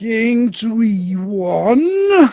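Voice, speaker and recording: The speaker puts on a character voice at a fairly high pitch. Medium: stage play. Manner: terse, flat.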